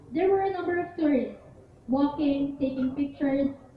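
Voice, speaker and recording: Noticeable background noise under a woman's high voice at a moderate pace. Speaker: spoken word poet. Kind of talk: spoken word poetry performance. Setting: live cafe poetry event.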